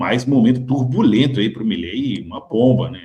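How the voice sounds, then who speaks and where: This man speaks at a moderate pace, his pitch medium and somewhat breathy. His pitch moves in an ordinary way. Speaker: market commentary host. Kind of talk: market commentary video.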